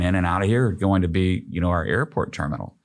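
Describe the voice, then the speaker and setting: A man's very deep, low-pitched voice with an American accent. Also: very clean recording, silent background. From Oklahoma. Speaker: economic development executive. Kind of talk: casual interview. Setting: studio. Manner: animated.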